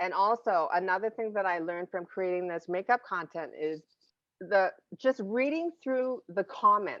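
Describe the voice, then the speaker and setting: This woman's voice sits at medium pitch, with ordinary pitch variation and a moderate pace. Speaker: podcast host and makeup content creator. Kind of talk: casual chat. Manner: animated when talking with friends.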